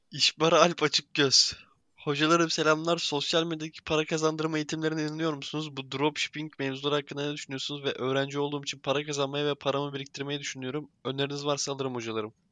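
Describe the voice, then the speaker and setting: At a very fast pace and with hardly any pauses, a man speaks in a flat monotone, his fairly high voice bright and sharp in a dry, close sound with no echo. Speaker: podcast host. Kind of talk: casual chat.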